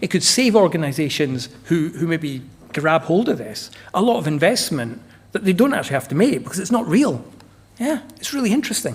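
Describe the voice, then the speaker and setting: Pitched high with very wide swings, a man talks at a fairly quick pace with a slight Scottish accent. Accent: slight Scottish lilt. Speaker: energy management consultant. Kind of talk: conference presentation. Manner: casual, animated.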